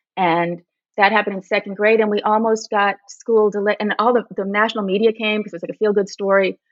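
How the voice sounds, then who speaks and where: A woman's medium-pitched voice, monotone and flat, at a fairly quick pace. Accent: American. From US West Coast, Berkeley, California. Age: 60s. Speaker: magazine staff writer. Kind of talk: podcast interview.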